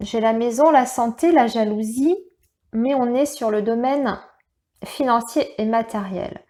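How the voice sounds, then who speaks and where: This woman has a fairly high pitch, ordinary pitch variation and a dark, mellow tone on a very clean recording with a silent background. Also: long, frequent pauses. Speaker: tarot reader. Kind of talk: tarot reading guidance. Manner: halting, stumbling over words.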